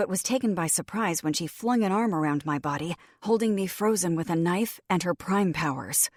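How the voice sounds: Natural reading voice, nothing more.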